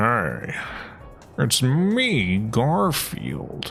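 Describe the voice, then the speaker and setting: Clear music plays in the background. Over it, a man uses a put-on character voice at medium pitch. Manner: put-on, comic.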